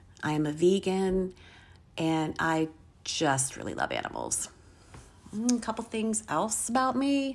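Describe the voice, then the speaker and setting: This woman has a medium pitch and lively intonation. Her recording is very clean, the background silent. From Virginia, US. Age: 50s. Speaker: podcaster and substitute teacher. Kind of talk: casual monologue.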